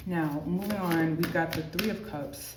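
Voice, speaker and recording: In a room with audible echo and noticeable background noise, a soft-spoken woman talks at a moderate pace. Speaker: tarot reader. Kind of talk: tarot reading. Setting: amenities building. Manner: casual, filler-heavy.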